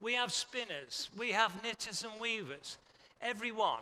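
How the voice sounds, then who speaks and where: Using a raised, projected voice, a man speaks at a high pitch. His pace is fairly slow, with ordinary pitch variation. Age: 70s. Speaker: textile industry expert. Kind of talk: conference talk.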